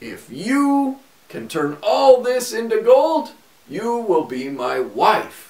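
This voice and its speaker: A man puts on a character voice, pitched extremely high, speaking very slowly while his loudness rises and falls sharply. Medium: read story.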